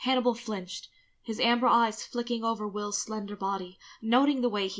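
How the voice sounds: The intonation is fairly even as the text is read in a natural reading voice.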